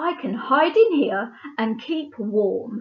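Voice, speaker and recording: A woman's put-on character voice, gruff and bellowing, high-pitched, at a very slow pace. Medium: read story. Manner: gruff, roaring.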